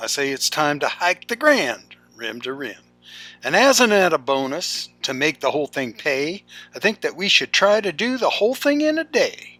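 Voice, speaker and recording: A man's high-pitched voice with very wide pitch swings at a moderate pace, dry and close with no echo, music in the background. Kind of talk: poetry reading.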